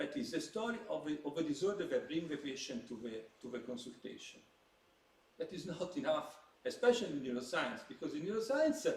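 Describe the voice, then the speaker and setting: Over noticeable background noise and audible room echo, a man talks fairly quickly at a fairly high pitch, his voice swinging very widely up and down. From Italy. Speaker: psychiatrist. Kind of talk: lecture. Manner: halting.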